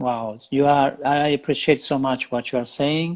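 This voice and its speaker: With an Italian accent, a man talks at a medium pitch for a man, his intonation fairly even. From Italy. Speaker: fitness trainer and show host. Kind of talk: interview. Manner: halting.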